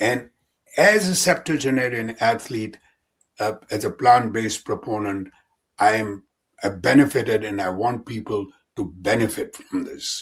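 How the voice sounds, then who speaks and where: Somewhat breathy, a man talks at a medium pitch and moderate pace. His pitch varies in an ordinary way. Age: 70s. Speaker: physician and endurance athlete. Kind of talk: podcast interview answer.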